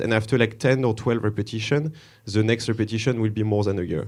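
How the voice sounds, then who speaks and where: Against a quiet background, a man with a French accent talks at a fairly quick pace with a fairly low pitch and fairly even intonation. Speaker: conference speaker, developer relations. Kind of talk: conference talk. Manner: hesitant, many fillers.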